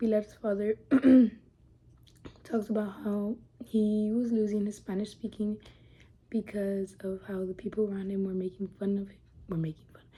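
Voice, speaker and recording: A woman with a dark, mellow, somewhat breathy tone speaks at medium pitch and a moderate pace, her flat, monotone delivery broken by long, frequent pauses and big swings in loudness. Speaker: student. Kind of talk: reading aloud.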